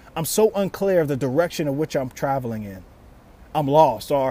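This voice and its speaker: A man with an ordinary speaking voice talks at a fairly quick pace, fairly high in pitch, with lively intonation. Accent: American. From Louisiana, US South. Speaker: podcast host, motivational speaker. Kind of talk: motivational talk.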